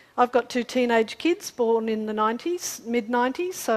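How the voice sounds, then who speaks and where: A woman speaks with an Australian accent at a moderate pace. Her pitch is fairly high. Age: 40s. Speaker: climate scientist presenter. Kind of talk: public talk with slides. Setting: community forum with audience.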